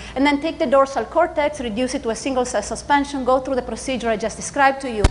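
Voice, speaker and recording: Noticeable background noise accompanies a woman speaking very fast at a high pitch. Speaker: neuroscience professor. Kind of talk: lecture. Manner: hesitant, many fillers.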